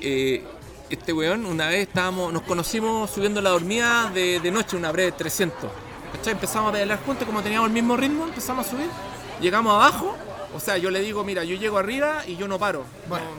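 With a Chilean accent, a man speaks very fast in a raised, projected voice at a high pitch and with lively intonation, audible room echo and crowd noise around him. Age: 40s. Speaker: long-distance cyclist. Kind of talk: casual chat. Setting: bar.

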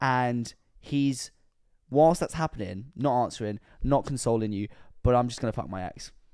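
In a British accent, a man speaks at medium pitch and a moderate pace, with ordinary pitch variation and long, frequent pauses. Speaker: podcast host. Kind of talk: casual chat.

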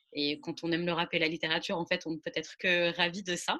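Over a quiet background, a woman speaks with a fairly low pitch and a bright, sharp tone. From French suburbs. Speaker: podcast host. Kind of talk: interview. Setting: remote recording.

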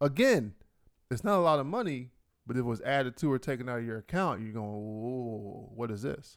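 A man's medium-pitched voice at a fairly quick pace, with lively intonation, on a very clean recording with a silent background. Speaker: podcast co-host. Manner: loud, passionate; excitable.

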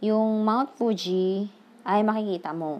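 Very slowly, a woman talks at a fairly high pitch. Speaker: Japanese language learner sharing study notes. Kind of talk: tutorial. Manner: halting.

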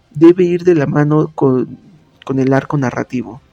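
A man with a central Mexican accent speaks at a fairly slow pace and a fairly high pitch, with a dark, mellow tone, ordinary pitch variation and a dry, close sound with no echo. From Mexico, Pachuca, Hidalgo. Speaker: podcast host and writer. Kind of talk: tutorial. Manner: casual with frequent fillers.

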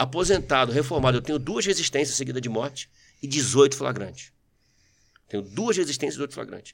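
A man's fairly high, animated voice with lively intonation, a fairly quick pace and long, frequent pauses. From Brazil, São Paulo region (Mauá), born in Rio. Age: 40s. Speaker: retired military police sergeant and politician. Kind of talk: casual interview chat.

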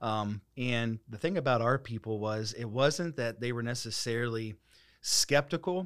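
In an American accent, an unremarkable speaking voice moves at a fairly slow pace with ordinary pitch variation over a very clean recording with a silent background. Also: man. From US Midwest (Dayton, Ohio). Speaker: pastor. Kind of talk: casual interview.

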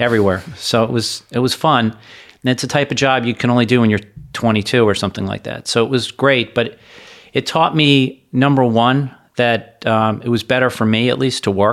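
With an American accent, a man speaks in a normal speaking voice at a medium pitch and moderate pace, his intonation fairly even, on a very clean recording with a silent background. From South Florida. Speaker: financial advisor. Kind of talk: interview conversation.

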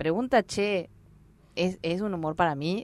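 With a plain, everyday voice, a woman speaks at a medium pitch and a moderate pace. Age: 50s. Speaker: actress and stand-up comedian. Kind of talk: casual chat.

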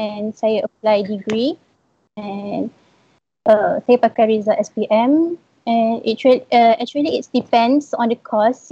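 A dark, mellow tone moves at a very slow pace with fairly even intonation. The sound is dry and close, with no echo. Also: woman. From Malaysia, Perak. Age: 20s. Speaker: recent university graduate. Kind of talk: live-stream interview, sharing experience.

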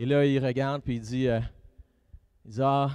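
A man speaks with a Quebec accent in a medium pitch, his tone dark and mellow. His delivery is monotone and flat, at a fairly slow pace. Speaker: pastor. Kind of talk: sermon.

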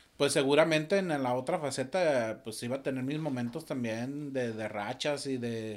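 With a normal speaking voice, a man talks at a fairly slow pace in a medium pitch, with ordinary pitch variation and hardly any pauses. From Torreón, Coahuila, northern Mexico. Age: 40s. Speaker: musician and audiovisual producer. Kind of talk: casual interview.

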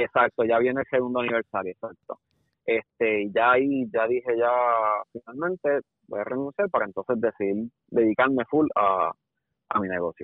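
A man speaks with a Puerto Rican accent at a medium pitch. His pace is moderate and his pitch variation ordinary. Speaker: videographer. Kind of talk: casual chat.

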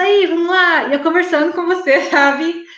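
A woman is speaking. There is audible room echo. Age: 40s. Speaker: weight-loss program student. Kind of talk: interview testimony. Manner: animated.

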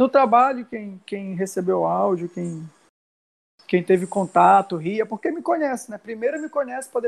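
A man's high-pitched voice carries along at a moderate pace. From Brazil, Belém (Pará). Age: 30s. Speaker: viral audio personality, school foundation worker. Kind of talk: casual chat.

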